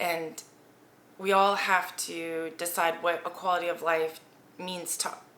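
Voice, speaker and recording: Noticeable background noise sits behind a woman's fairly low voice. Her intonation is monotone and flat. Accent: American. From Germany, US military community. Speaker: vlogger. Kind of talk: casual commentary vlog. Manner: rambling, with fillers.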